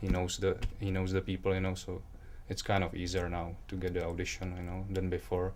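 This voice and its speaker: Speaking with a Czech accent, a man uses a very deep, low pitch. His intonation is monotone and flat, and his pace is fairly quick. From Czech Republic. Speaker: aspiring model and actor. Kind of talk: interview. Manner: halting, many fillers.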